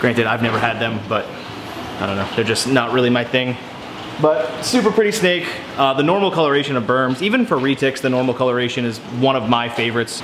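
There is noticeable background noise. A man speaks with ordinary pitch variation. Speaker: reptile keeper vlogger. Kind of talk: casual vlog chat. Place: garage. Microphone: phone near.

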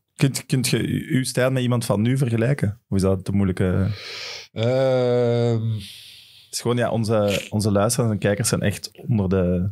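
Fairly even in intonation and moderate in pace, a man speaks with a dark, mellow tone. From Flanders, Belgium. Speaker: football podcast host. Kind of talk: casual chat. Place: studio. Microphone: studio mic.

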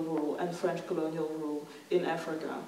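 A woman is speaking. Light background noise and audible room echo can be heard. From Congo, raised in the Netherlands. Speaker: philosopher and author. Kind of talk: lecture. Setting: stage with audience. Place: stage.

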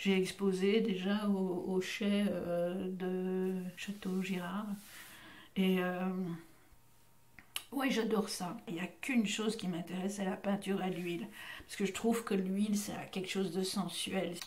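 Woman's medium-pitched voice, monotone and flat, at a fairly slow pace with long, frequent pauses. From Belgium, Brussels. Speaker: voice actress. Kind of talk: interview. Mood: warm, relaxed, reminiscing. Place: studio.

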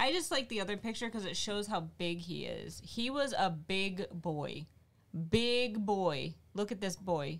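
A woman talks at a fairly slow pace with vocal fry and lively intonation. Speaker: streamer. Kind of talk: casual chat. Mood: relaxed, enthusiastic. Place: home room. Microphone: studio mic.

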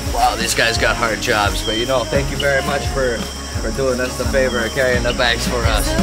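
Clear music sits in the background while a man talks at a fairly quick pace. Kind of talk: casual travel show chat. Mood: excited, grateful. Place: forest.

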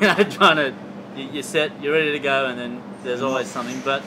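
A man speaks over noticeable background noise. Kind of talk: interview answer. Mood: relaxed, laughing. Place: garden.

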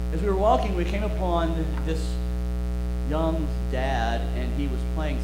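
A man speaking at a fairly slow pace over loud background noise. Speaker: preacher. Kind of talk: sermon. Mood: calm storytelling. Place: church.

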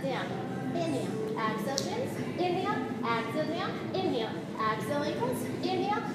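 A woman talks at a very fast pace in a room with audible echo, with music playing in the background. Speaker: fitness instructor. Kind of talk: workout instruction cueing. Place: gym. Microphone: camera far.

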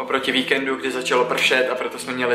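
A man talks with audible room echo while faint music plays in the background. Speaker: scout vlogger. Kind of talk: casual vlog chat. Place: home room.

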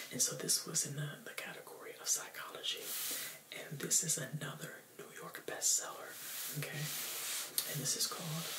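This man's voice is a whisper, neither fast nor slow. Long breaks come often between his words. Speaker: presenter. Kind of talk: casual tutorial-style book talk. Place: home room.

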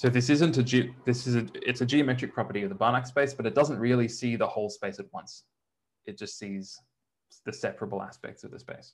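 A man with an Australian accent, medium pitch, ordinary pitch variation, big swings in loudness, a fairly quick pace and a somewhat breathy quality. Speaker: mathematics lecturer. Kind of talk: lecture. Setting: online lecture, church bell audible in background. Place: home room.

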